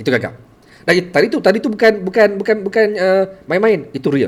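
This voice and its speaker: A man with a Malaysian accent talks at a very fast pace. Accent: Malaysian Malay. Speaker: teacher and storyteller livestreamer. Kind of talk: live stream talk. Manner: halting with repetitions.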